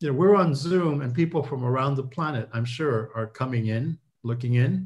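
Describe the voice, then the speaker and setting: At a moderate pace, a man talks at a medium pitch. His voice sounds somewhat breathy. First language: not English. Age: old. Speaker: professor. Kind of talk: webinar Q&A. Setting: video call.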